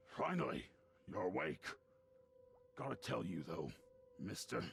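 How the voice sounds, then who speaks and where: A man puts on a character voice that is raspy and very deep. He talks at a moderate pace. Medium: video game. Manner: gruff, suspicious.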